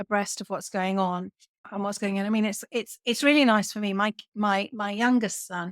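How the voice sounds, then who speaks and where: Someone with a British accent talks at a moderate pace, keeping the intonation fairly even. The sound is dry and close with no echo, and the recording is very clean over a silent background. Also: woman. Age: 60s. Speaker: podcast host and software trainer. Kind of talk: casual interview chat.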